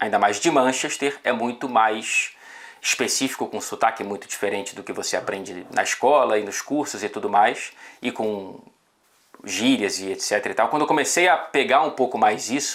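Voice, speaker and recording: Here a man of medium pitch talks at a moderate pace with ordinary pitch variation, in an unremarkable speaking voice. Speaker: football journalist. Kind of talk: casual chat.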